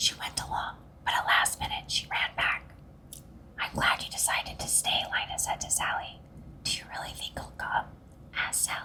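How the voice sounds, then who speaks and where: A woman whispers at a moderate pace, leaving long, frequent pauses. There is noticeable background noise. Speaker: ASMR storyteller reading to children. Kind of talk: children's bedtime story reading. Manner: whispered, soft.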